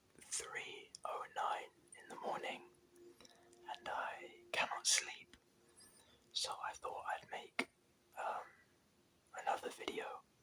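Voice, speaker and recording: Someone whispers in a relaxed tone. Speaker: ASMR creator. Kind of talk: ASMR whispered talk to camera, late-night rambling. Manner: whispered, soft-spoken, relaxed.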